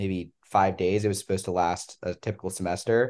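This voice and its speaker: A man's ordinary speaking voice, fairly low in pitch, with an American accent, fairly even intonation and a quiet background. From Pennsylvania. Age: 20s. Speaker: medical student. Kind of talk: casual chat.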